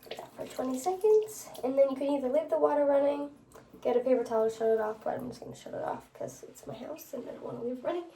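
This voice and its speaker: A woman's high-pitched, very fast speech with lively intonation and big swings in loudness, plus audible room echo and noticeable background noise. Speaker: nursing student. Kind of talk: skills demonstration. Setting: at home. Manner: whispering.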